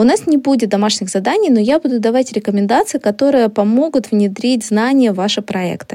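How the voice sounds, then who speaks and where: A woman with an unremarkable speaking voice talks at a fairly quick pace with hardly any pauses and ordinary pitch variation. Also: fairly high pitch for a woman. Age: 30s. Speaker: marketing podcast host. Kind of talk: educational podcast lesson.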